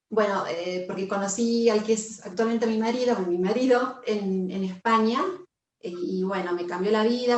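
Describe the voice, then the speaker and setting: Speaking fairly slowly, a woman uses a fairly high pitch and ordinary pitch variation. Room echo can be heard. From Argentina, Buenos Aires. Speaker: yoga teacher. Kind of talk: casual chat. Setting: video call.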